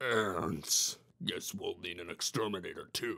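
Using a put-on character voice, a man speaks. His pace is fairly slow. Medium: read story. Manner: smug, chatty, theatrical.

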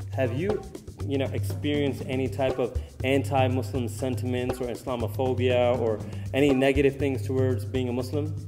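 Clear music plays in the background. A man talks at a moderate pace with fairly even intonation. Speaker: interviewer, caller. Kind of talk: interview question. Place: hall.

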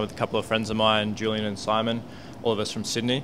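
Noticeable background noise surrounds a man's voice. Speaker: guest. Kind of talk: interview answer. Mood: relaxed, friendly. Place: bar. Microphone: handheld.

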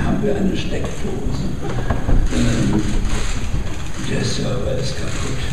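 Through loud background noise and audible room echo, a man speaks at a very slow pace. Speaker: book publisher. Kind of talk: spoken anecdote, informal talk. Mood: playful, anecdotal. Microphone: camera far.

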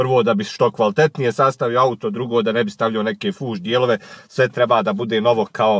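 Recorded with a dry sound and no echo, a man speaks at a fairly quick pace with ordinary pitch variation. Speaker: car vlogger. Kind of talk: casual vlog chat. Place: car. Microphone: phone near.

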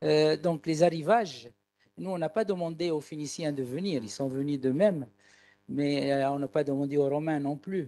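A man speaks with a dark, mellow tone. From Tunisia. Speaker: audience member. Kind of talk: audience question. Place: hall. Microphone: handheld.

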